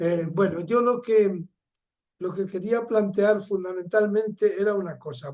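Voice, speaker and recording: A man talks at a fairly slow pace. His pitch is high, with ordinary variation. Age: 70s. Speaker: participant in a videoconference. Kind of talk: discussion contribution. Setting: video call.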